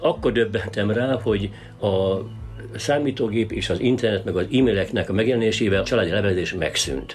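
Over noticeable background noise, a man talks at a fairly quick pace in a fairly low pitch with ordinary pitch variation. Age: 60s. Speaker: local historian. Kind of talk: interview.

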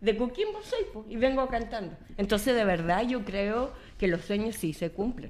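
A woman with an ordinary speaking voice talks at a fairly slow pace. Her pitch is fairly high, with ordinary variation. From Chile, Coquimbo. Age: 40s. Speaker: municipal official and journalist. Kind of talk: radio panel conversation.

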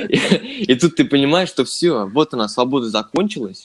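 With lively intonation and a moderate pace, a man talks in an ordinary speaking voice. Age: 20s. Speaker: podcast co-host, music industry graduate. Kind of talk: casual chat.

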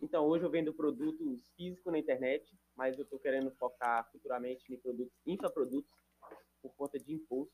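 An ordinary speaking voice at a fairly quick pace. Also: man, fairly high pitch for a man. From Minas Gerais, rural Brazil. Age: 20s. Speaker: digital marketing entrepreneur. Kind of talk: casual chat.

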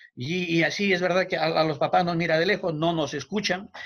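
A high-pitched male voice at a moderate pace. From Peru. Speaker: teacher and family counselor. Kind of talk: interview.

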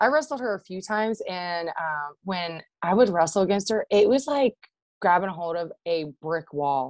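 A woman speaks with a Midwestern US accent at a medium pitch and moderate pace, her intonation lively. The sound is dry and close with no echo, over a quiet background. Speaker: former wrestler and military servicemember. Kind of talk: casual interview chat.

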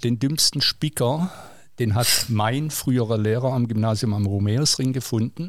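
A man speaks at a medium pitch, with ordinary pitch variation and very even loudness, in an ordinary speaking voice. The fairly slow delivery is captured in a very clean recording with a silent background. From southwest Germany, Villingen (Baden-Württemberg). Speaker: teacher. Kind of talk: casual interview.

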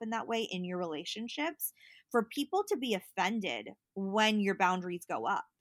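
With an American accent, a woman of medium pitch talks at a moderate pace in an ordinary speaking voice with ordinary pitch variation, recorded very cleanly with a silent background and a dry, close sound with no echo. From US West Coast (Berkeley, California). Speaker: digital marketer and mental health advocate. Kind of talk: casual interview.

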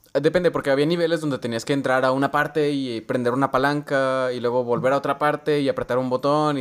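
A man with a Mexican accent speaks at a very fast pace, his medium pitch held in fairly even intonation. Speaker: podcast co-host. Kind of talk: casual chat.

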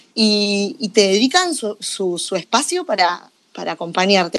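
In a Rioplatense accent, a woman speaks at a medium pitch with lively intonation, captured in a very clean recording with a silent background. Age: 30s. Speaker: podcast host. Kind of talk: interview.

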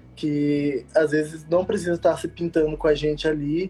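Dark and mellow in tone, a man speaks at a moderate pace. His pitch is fairly high, and his intonation is monotone and flat. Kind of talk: interview in a live stream.

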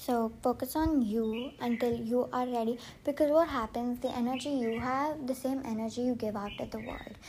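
A woman with an Indian accent speaks at a moderate pace with hardly any pauses, her high-pitched voice dark and mellow in tone and her intonation fairly even. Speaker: podcaster. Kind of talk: casual solo podcast monologue. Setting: outdoors on a terrace. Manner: chatty, informal.

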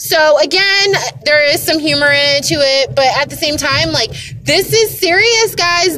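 Over noticeable background noise, a woman with an American accent speaks in a raised, projected voice at a moderate pace. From United States. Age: 30s. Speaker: podcaster. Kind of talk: casual monologue. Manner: animated.

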